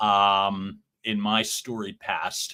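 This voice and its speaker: A man's fairly low voice with a bright, sharp tone and a Philadelphia accent, in a very clean recording with a silent background. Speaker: podcast co-host. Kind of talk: casual chat. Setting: livestream show.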